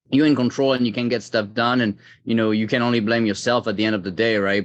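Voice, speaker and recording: A man talks in a French accent with monotone, flat intonation. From France. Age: 30s. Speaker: tech executive. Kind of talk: interview. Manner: hesitant, many fillers.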